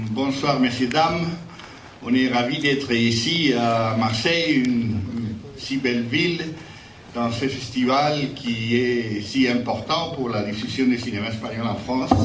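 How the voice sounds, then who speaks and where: With noticeable background noise and audible room echo around him, a man talks at a very slow pace. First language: Spanish (speaking French). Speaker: jury president at film festival. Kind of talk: award ceremony speech. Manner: halting, many repetitions.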